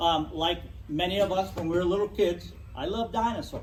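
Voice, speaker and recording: Loud and high-pitched, a man speaks with audible room echo. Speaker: natural history educator. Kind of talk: club talk.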